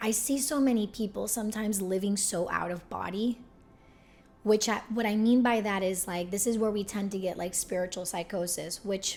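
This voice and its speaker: A woman's animated voice at a moderate pace, with music in the background. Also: medium pitch for a woman. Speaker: spiritual YouTuber. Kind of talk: casual vlog talk.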